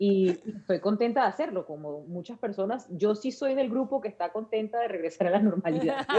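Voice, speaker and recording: A Venezuelan accent at a fairly quick pace, lively intonation and noticeable background noise. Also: woman, medium pitch for a woman. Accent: Venezuelan Spanish, well preserved. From Venezuela, La Guaira. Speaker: journalist. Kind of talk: interview.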